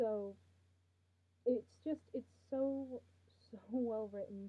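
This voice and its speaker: A woman talks loudly in a fairly high pitch, her pitch varying in an ordinary way. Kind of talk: casual talk to camera, fanfic review.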